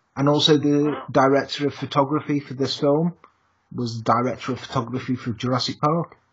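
This man has an English accent and a fairly high, somewhat breathy voice. He speaks at a fairly quick pace with fairly even intonation. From England. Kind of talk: casual chat.

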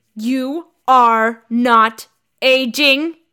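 Growling in an angry tone, a woman puts on a character voice. She pitches it high. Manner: angry, growling.

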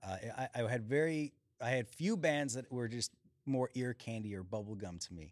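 At a moderate pace, a man uses a normal speaking voice with lively intonation and medium pitch, recorded dry and close with no echo. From Chicago, Illinois. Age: 40s. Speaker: singer-songwriter. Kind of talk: casual chat. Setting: stage.

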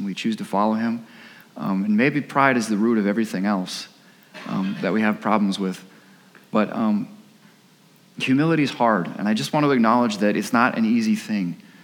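A man's medium-pitched voice at a fairly quick pace, with ordinary pitch variation and audible room echo. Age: 30s. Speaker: pastor. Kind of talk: sermon. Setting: church. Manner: halting.

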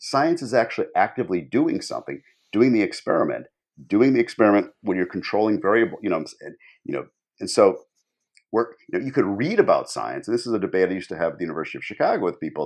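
A man with an American accent talks at a very fast pace. The background is quiet. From US Midwest. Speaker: public philosopher. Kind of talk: casual chat.

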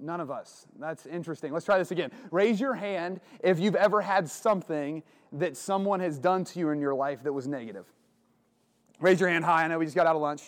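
In a very clean recording with a silent background, a man with an American accent speaks at a fairly quick pace. His pitch is high, with ordinary variation. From southern Ohio, small town. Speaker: retreat speaker. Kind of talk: religious talk to young men. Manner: casual, conversational.

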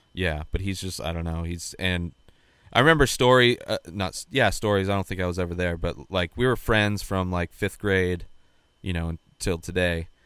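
A man with an American accent speaks at a moderate pace in a very deep, low voice with ordinary pitch variation, on a very clean recording with a silent background. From Southern California, Coachella Valley. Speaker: podcast co-host. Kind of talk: casual chat.

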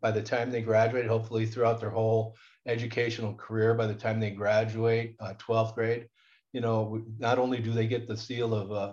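A man's somewhat breathy, medium-pitched voice with an American accent, at a fairly quick pace against a quiet background. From Southern California, Inland Empire. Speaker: school board president and accounting instructor. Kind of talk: interview.

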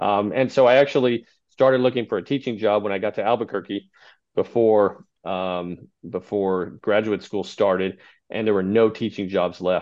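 A man with an American accent and an unremarkable speaking voice. His pitch sits fairly low, his intonation stays fairly even, and he talks at a moderate pace. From Texas. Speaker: state high school athletics association director. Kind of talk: interview.

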